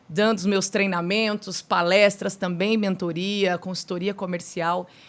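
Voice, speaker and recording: Monotone, flat delivery at a fairly slow pace, in a Minas Gerais accent. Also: woman, medium pitch for a woman. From Minas Gerais, Brazil. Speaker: podcast host, mentor and speaker. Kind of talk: podcast interview.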